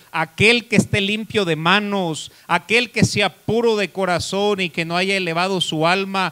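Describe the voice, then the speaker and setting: A man's raised, projected voice, bright and sharp in tone, at a very slow pace. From Mexico. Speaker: pastor. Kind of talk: sermon. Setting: church. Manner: animated, preacherly, rhetorical questions to congregation. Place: church. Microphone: handheld.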